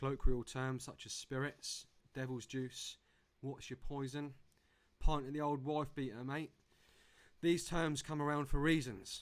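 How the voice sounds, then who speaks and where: A man with a fairly high pitch speaks at a fairly slow pace, leaving long, frequent pauses. His intonation stays fairly even while his loudness swings widely. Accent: English. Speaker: conference speaker. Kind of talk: presentation.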